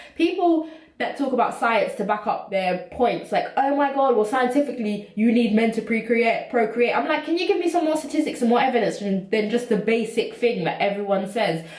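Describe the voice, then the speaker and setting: A woman's high, animated voice with a British accent, lively intonation, a fairly quick pace and hardly any pauses, plus audible room echo and noticeable background noise. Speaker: YouTuber. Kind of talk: casual vlog monologue. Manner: fast.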